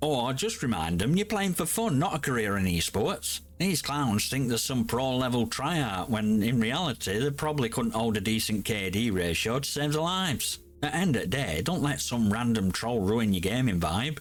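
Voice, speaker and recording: A grumpy-sounding man with a Yorkshire accent, medium pitch and very wide pitch swings, at a moderate pace with hardly any pauses. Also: very even loudness. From Yorkshire, England. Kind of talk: casual gaming commentary to camera.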